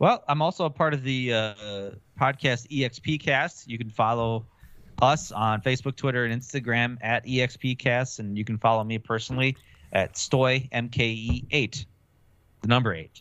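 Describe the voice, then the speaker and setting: A man at medium pitch with an Upper Midwest US accent, a moderate pace and ordinary pitch variation. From Wisconsin, Milwaukee. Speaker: gaming podcaster. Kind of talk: casual chat.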